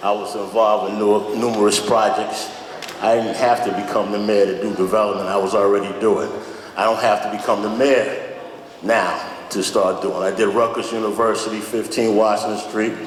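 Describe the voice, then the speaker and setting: A man's fairly low voice at a moderate pace, monotone and flat, with noticeable background noise and audible room echo. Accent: American. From Newark, New Jersey (Central Ward). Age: 60s. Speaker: mayoral candidate, construction developer. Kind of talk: candidate forum answer.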